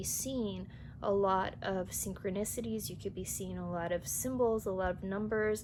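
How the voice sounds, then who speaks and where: Here is a woman with an ordinary speaking voice. Her pitch is medium and her pace moderate. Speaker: tarot reader. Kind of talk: tarot reading to camera. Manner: casual.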